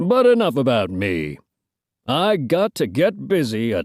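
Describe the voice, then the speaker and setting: This man uses a put-on character voice at a medium pitch and a fairly slow pace. The recording is very clean and the background silent. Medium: read story. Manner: folksy, drawling.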